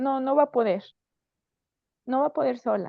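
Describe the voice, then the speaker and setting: A woman is speaking. Her pitch is high, with ordinary variation. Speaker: psychologist and physiotherapist speaker. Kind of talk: conference talk.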